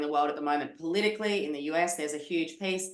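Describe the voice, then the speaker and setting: A woman with an Australian accent talks at a fairly low pitch. Her intonation is fairly even, and audible room echo is present. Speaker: podcast host. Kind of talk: podcast interview. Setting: video call.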